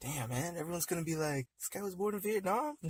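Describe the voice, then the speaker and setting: A man speaks at a very fast pace with a somewhat breathy voice and lively intonation, the sound dry and close with no echo. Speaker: podcast host. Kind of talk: casual chat. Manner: talkative.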